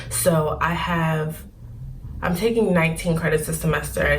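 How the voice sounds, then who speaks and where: Quietly, a woman with an American accent speaks over noticeable background noise and audible room echo. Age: 20s. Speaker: student vlogger. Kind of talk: casual vlog talk. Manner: quiet, low voice.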